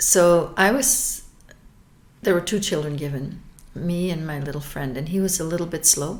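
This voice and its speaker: A woman's fairly low voice with ordinary pitch variation, moderate pace and audible room echo. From Belgium. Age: 60s. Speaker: abuse survivor. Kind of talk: testimony. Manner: halting, with repetitions.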